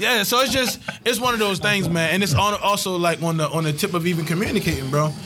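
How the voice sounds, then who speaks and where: Over music in the background, a man with an American accent talks at a very fast pace in a high pitch, with ordinary pitch variation and very even loudness. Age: 20s. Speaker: podcast host. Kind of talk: casual chat.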